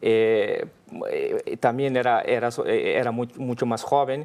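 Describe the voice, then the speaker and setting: A man with a Brazilian accent speaks at a fairly slow pace. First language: Portuguese (speaking Spanish). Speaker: business leader. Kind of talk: interview. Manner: halting.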